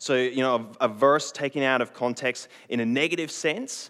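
A man with a normal speaking voice and lively intonation talks at a moderate pace. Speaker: preacher. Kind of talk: sermon. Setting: church stage with congregation.

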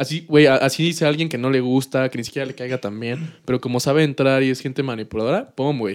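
Speaking very fast, a man has a medium pitch. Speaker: podcast host. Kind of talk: casual chat. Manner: animated.

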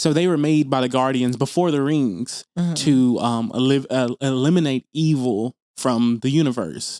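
A man with an American accent speaks at medium pitch in a dark, mellow tone, with a dry, close sound with no echo on a very clean recording with a silent background. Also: ordinary pitch variation, moderate pace, hardly any pauses. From US South, Tennessee. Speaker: podcast co-host. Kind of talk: casual chat.

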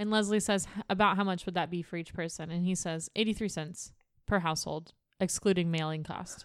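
In a very clean recording with a silent background, a woman speaks at a fairly quick pace. She has an ordinary speaking voice, medium pitch and ordinary pitch variation. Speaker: podcast co-host. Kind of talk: casual chat. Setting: studio.

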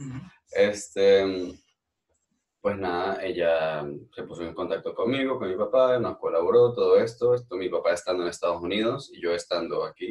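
Loudness swings widely as a man speaks at a moderate pace. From Venezuela, Táchira. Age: 20s. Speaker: Venezuelan emigrant interviewee. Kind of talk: casual interview.

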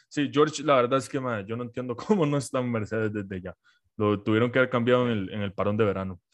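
A man with a Costa Rican accent talks at a very fast pace in a medium pitch. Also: ordinary pitch variation. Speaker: podcast host. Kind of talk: casual chat.

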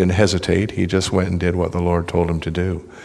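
A man with a very deep, low pitch speaks against noticeable background noise. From British Columbia, Canada. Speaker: visiting preacher. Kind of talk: sermon. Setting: church.

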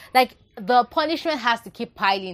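A woman with a Nigerian accent talks at a moderate pace. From Nigeria (Yoruba). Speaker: book reviewer, podcast host. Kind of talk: book review monologue. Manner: repetitive, emphatic.

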